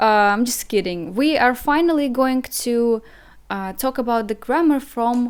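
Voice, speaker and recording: A woman with a non-native accent speaks in a fairly high pitch with ordinary pitch variation. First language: Russian. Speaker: language teacher. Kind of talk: online language lesson. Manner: hesitant, many fillers and repeats.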